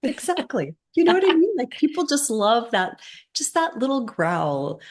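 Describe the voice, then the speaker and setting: A woman speaks at a high pitch with very wide pitch swings. Her pace is moderate. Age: 40s. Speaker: plant-based baker and podcast co-host. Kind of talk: casual chat.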